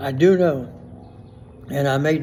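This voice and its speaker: A man with a South Louisiana accent speaks at a fairly slow pace and a fairly high pitch. Room echo is audible. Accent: South Louisiana Southern US. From US South. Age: 80s+. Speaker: gardener. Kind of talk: tutorial. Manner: casual.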